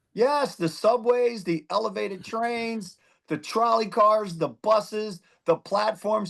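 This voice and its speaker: Over a quiet background, a man with a Philadelphia accent speaks at a very slow pace in a high pitch with ordinary pitch variation. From Philadelphia, US. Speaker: former judge, district attorney candidate. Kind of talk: interview.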